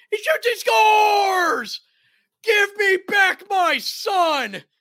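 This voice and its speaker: Shouting in a put-on character voice, the speaker goes very slowly at an extremely high pitch. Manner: cartoonish, exaggerated.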